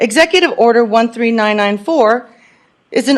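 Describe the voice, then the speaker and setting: With an American accent, a woman speaks at a moderate pace in a fairly high pitch with lively intonation. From California. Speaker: public commenter at county meeting. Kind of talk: public comment speech. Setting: public meeting hall. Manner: passionate, emphatic.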